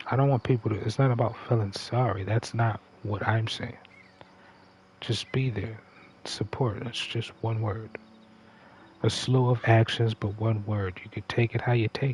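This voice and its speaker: This man talks at a moderate pace in a monotone, flat delivery, broken by long, frequent pauses. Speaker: gaming livestreamer. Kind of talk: casual livestream monologue. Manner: conversational, halting.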